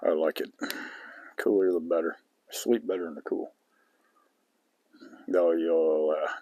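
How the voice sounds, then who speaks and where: A man speaks at a fairly slow pace, with long, frequent pauses. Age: 50s. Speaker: outdoor vlogger. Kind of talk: casual vlog monologue. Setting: outdoors at campsite.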